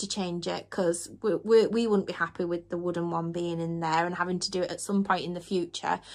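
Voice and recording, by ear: Speaking at a fairly quick pace, a woman has a fairly low pitch.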